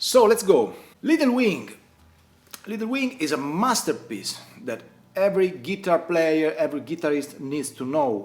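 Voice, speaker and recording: At a moderate pace, a man with an Italian accent speaks at a high pitch with very wide pitch swings. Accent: non-native English, Italian. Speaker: guitar teacher. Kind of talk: tutorial. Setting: at home.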